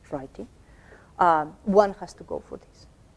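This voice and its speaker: A woman with a non-native accent speaks at a moderate pace in a dark, mellow tone. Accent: noticeable non-native English. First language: not English. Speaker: academic lecturer. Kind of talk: workshop lecture. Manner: halting, many repetitions.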